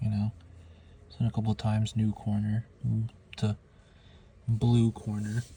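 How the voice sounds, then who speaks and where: A man speaks quietly in a dark, mellow, somewhat breathy tone, with monotone, flat intonation. His loudness is very even, and his pauses are long and frequent. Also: moderate pace. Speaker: figure collector vlogger. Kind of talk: casual figure review vlog. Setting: in a closet at home. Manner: quiet, keeping voice down; halting, many fillers.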